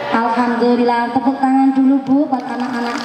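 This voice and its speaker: A woman talks at a high pitch and a moderate pace. Crowd noise sits in the background, and the room echo is audible. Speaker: Islamic preacher. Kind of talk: sermon. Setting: religious gathering with PA system. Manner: animated. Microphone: echo effect on PA.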